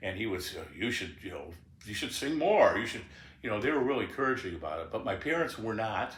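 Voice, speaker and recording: Amid noticeable background noise and audible room echo, a man speaks very fast at a medium pitch with very wide pitch swings. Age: 70s. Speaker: blues guitarist and singer. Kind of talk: memoir interview, casual reminiscing. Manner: halting.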